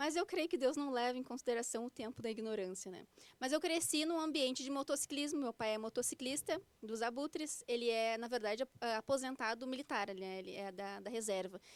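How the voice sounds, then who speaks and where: Her voice high in pitch and her intonation lively, a woman speaks in a dry, close sound with no echo. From Porto Alegre, southern Brazil. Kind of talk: interview testimony. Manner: fast; stammering at times.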